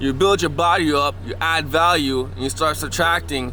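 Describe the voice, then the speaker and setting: Over music in the background, a man speaks at a fairly slow pace with audible room echo. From Canada, Toronto. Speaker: podcast host. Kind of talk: casual vlog walk-and-talk. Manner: animated.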